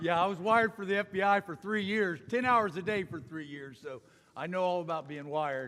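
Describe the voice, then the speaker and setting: A man's high voice, quick-paced and lively, with a Midwestern American accent and big swings in loudness. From US Midwest, Ohio (north of Cincinnati). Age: 60s. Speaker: corporate executive and speaker. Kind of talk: testimony talk at church.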